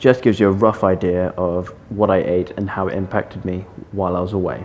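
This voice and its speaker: A man talks while music plays in the background. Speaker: fitness vlogger. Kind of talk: vlog narration. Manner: casual.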